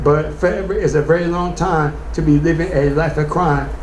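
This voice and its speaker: A man talks at a moderate pace, with audible room echo and noticeable background noise in the recording. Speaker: spoken word poet. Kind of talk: spoken word performance.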